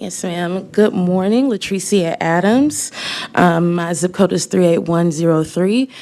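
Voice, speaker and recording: Against noticeable background noise, a woman speaks fairly slowly at a fairly low pitch, with ordinary pitch variation. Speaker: community advocate. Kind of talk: public comment presentation. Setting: government committee meeting.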